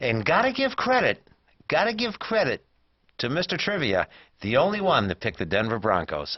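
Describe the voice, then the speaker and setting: Vocal fry, very wide pitch swings and a fairly quick pace. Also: man, fairly high pitch for a man. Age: 60s. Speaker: cable TV talk show co-host. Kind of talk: casual chat. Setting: studio. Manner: halting.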